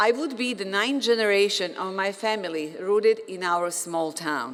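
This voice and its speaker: A woman with a Bosnian accent, medium pitch and lively intonation at a moderate pace, with audible room echo. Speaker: physician and professor, commencement speaker. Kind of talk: commencement speech. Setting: stage with audience.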